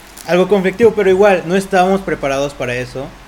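Noticeable background noise sits behind a man with a Mexican accent. He talks at a very fast pace with lively intonation. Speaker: podcast host. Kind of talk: casual chat.

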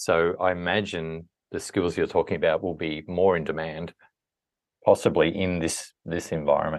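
A man with an Australian accent talks against a quiet background. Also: moderate pace. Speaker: podcast host. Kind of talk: interview. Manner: calm.

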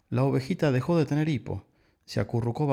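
An unforced reading voice is heard. Its pitch variation is ordinary.

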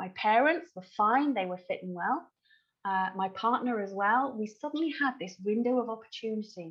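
The speaker has an English accent and lively intonation. The pace is moderate. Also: woman, fairly high pitch for a woman. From England. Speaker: wedding celebrant. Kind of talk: interview.

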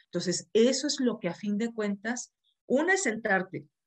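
A plain, everyday voice with lively intonation proceeds at a moderate pace over a quiet background. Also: woman. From Mexico, Monterrey. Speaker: therapist and course instructor. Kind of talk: live-streamed interview. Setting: video call.

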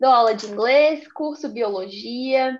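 A woman with a high pitch. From Brazil, Belo Horizonte. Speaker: actress and podcast co-host. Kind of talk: casual chat.

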